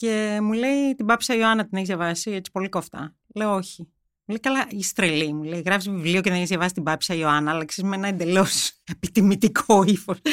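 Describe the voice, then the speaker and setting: Ordinary pitch variation runs through the speech. The pace is fairly quick. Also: woman, medium pitch for a woman. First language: German (speaking Greek). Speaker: journalist. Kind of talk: interview. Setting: studio.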